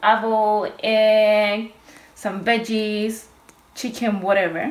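In a Spanish accent, a woman speaks with a fairly high pitch. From Chile. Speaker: naturopath and medical herbalist; cooking workshop host. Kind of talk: cooking tutorial. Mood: warm, friendly. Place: kitchen. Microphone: phone near.

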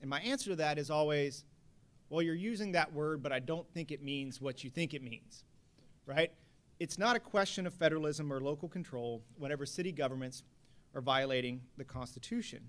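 A man with an American accent speaks fairly quickly in an unremarkable speaking voice. His pitch is fairly high, with ordinary variation. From Texas, Houston. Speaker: attorney. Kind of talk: panel discussion. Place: hall. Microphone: podium.

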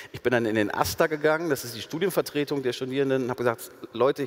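Talking at a very fast pace is a man. His pitch variation is ordinary. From Ruhr area, Germany; Germany. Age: 40s. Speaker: sociologist; guest. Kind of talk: public panel conversation. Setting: stage with audience. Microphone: headset.

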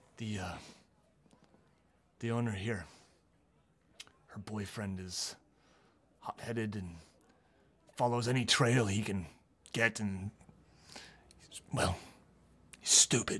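A man uses a put-on character voice at a fairly low pitch. He talks at a fairly slow pace with long, frequent pauses. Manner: paranoid, rambling.

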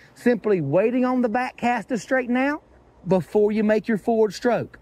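With an Appalachian accent, a man speaks at a moderate pace in an extremely high pitch, with ordinary pitch variation and a dry sound with no echo. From Appalachian North Carolina. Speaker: fly fishing instructor. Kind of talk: casual instructional talk to camera. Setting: outdoors, by a river, windy. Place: waterside.

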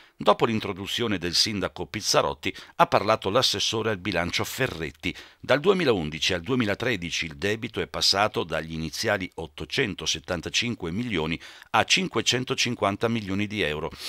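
A man with a bright, sharp tone and a fairly low pitch speaks at a fairly slow pace with lively intonation, the sound dry and close with no echo in a very clean recording with a silent background. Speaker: local TV news reporter. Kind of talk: news report narration.

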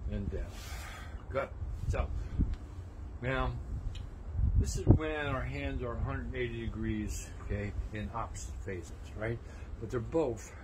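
The speech is fairly slow, with long, frequent pauses. Loud background noise fills the recording. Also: man. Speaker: tai chi instructor. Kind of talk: tutorial. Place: garden. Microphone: camera far.

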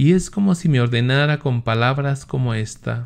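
A man talks at a fairly slow pace with ordinary pitch variation. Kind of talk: religious teaching and commentary, reading aloud from a text; at 39:25 passionate sermon-like reading of confessions with exhortation to the audience. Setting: home recording with screen images, online video. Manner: earnest, devout. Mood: calm, reverent. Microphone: webcam.

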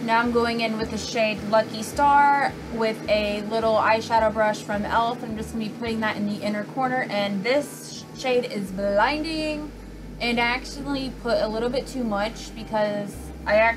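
Fairly even intonation shapes a female speaker's delivery, with music in the background. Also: moderate pace. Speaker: beauty vlogger. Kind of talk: tutorial. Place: home room. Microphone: phone near.

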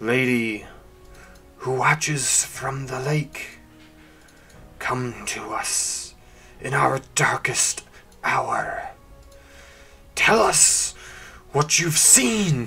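A man uses a raspy, put-on character voice at medium pitch, speaking very slowly with long, frequent pauses. Clear music plays in the background. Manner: solemn, intoning.

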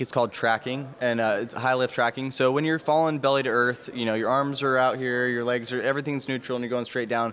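Over light background noise, a man with a medium-pitched voice speaks very fast in a flat monotone. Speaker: military parachutist; guest. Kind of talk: interview. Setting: outdoors. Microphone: handheld.

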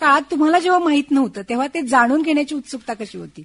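A woman is speaking. Her intonation is lively. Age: young. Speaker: radio host. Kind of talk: radio interview.

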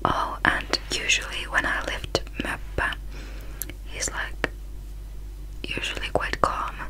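A woman's very slow speech, full of long, frequent pauses, over noticeable background noise. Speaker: beauty vlogger. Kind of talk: casual vlog chat. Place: home room. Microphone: phone near.

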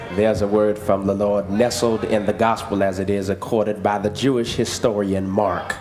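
With clear music in the background, a man at a fairly low pitch speaks at a moderate pace with very even loudness and hardly any pauses. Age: young. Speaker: pastor. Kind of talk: church sermon. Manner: energetic, vibrant. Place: church. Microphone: podium.

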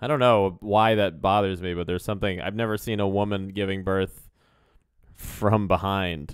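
Against a quiet background with dry sound and no echo, a man with an ordinary speaking voice talks at a moderate pace in a fairly low pitch, his intonation fairly even. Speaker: comedy podcast co-host; podcast co-host. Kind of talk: casual chat. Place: home room. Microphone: studio mic.

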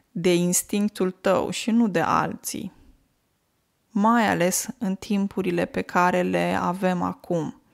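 Very clean and silent in the background, the recording has a dry, close sound with no echo. A woman speaks at a very slow pace. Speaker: language teacher podcaster. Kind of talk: casual monologue.

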